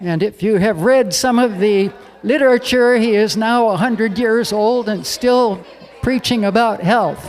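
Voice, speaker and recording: Noticeable background noise is present. The speech moves at a fairly slow pace. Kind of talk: event introduction.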